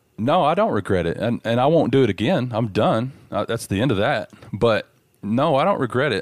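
Lively intonation from a medium-pitched man with a Southern US accent at a moderate pace, dry and close with no echo, on a very clean recording with a silent background. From Dallas, Texas. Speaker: former bank robber. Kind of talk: interview.

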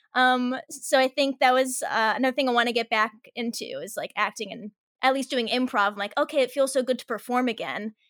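A woman's high voice at a fairly quick pace, with ordinary pitch variation and big swings in loudness, in a very clean recording with a silent background and a dry, close sound with no echo. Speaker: actor and director. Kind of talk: casual interview chat.

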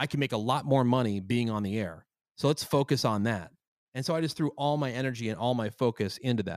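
Speaking at a very fast pace with an American accent, a man shows ordinary pitch variation in a dry, close sound with no echo. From US, central New Jersey. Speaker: morning radio host. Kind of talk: casual interview chat.

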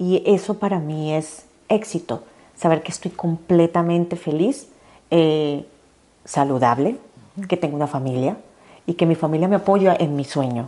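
A woman speaks in a fairly low, dark and mellow voice. She leaves long, frequent pauses. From Colombia. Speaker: fashion designer and entrepreneur. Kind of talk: interview. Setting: in person studio.

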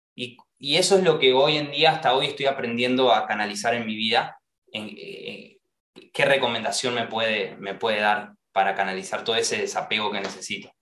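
A man with an Argentine accent at a medium pitch, moderate pace and lively intonation. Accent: Rioplatense Argentine Spanish. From Argentina. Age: 20s. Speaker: actor and singer. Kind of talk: interview conversation. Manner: halting, many repeated words.

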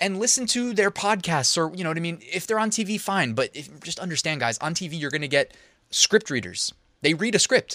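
On a very clean recording with a silent background and a dry, close sound with no echo, a man with a high pitch uses a raised, projected voice, bright and sharp in tone, with lively intonation and an animated tone. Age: 30s. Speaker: online business podcaster. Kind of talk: casual tutorial.

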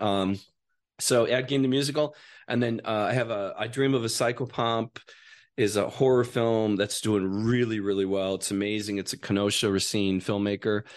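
A medium-pitched man with an Upper Midwest accent, moderate pace and fairly even intonation, over a quiet background. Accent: Upper Midwest American. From Wisconsin. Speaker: actor and filmmaker. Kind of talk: casual chat. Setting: studio. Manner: halting, repeats words.

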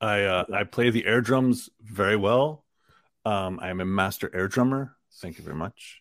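A man speaks in an ordinary speaking voice, fairly low in pitch with ordinary variation, at a moderate pace. The recording is very clean, with a silent background. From US, Queens, New York. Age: 40s. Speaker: one-man metal band musician. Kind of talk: casual interview.

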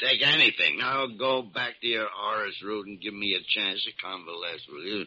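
Using a put-on character voice, a man speaks at a moderate pace with a fairly low, rumbling pitch, a bright, sharp tone, a slightly husky edge and ordinary pitch variation.

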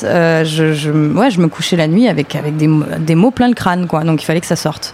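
A woman talks over noticeable background noise. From southern France, Avignon. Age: 20s. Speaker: singer. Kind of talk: casual interview. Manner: halting, with repetitions.

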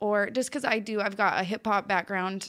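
A woman with a normal speaking voice, fairly even intonation and a moderate pace, on a very clean recording with a silent background. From Utah. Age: 20s. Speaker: professional cheerleader. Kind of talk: casual chat. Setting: studio.

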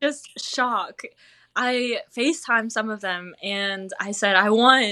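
Very slowly, a woman speaks with a Southern US accent at a fairly high pitch and a bright, sharp tone. The recording is very clean with a silent background. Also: ordinary pitch variation. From North Carolina, US. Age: 20s. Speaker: cheese-rolling champion. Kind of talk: interview.

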